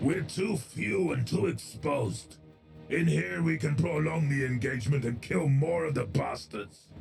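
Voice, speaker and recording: Over clear music in the background, a man puts on a gruff character voice at medium pitch, swinging very widely in pitch at a moderate pace. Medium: audio drama. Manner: gruff, grating.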